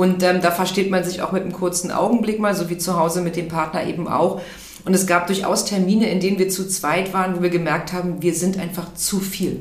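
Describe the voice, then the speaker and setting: Against noticeable background noise and audible room echo, a woman speaks at a fairly quick pace. Her medium-pitched voice stays monotone and flat. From Berlin, Germany. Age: 40s. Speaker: HR manager. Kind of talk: interview. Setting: studio, in person.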